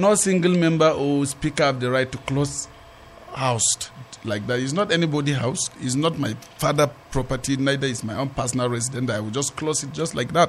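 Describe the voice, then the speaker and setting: Fairly quick, fairly high-pitched male speech over noticeable background noise. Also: ordinary pitch variation. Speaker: politician. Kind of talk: studio interview. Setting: studio.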